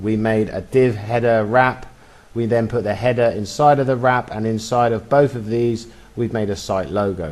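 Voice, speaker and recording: In an ordinary speaking voice, a man talks at a moderate pace and medium pitch with fairly even intonation. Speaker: web design tutor. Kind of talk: screen-recorded coding tutorial. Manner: casual, chatty.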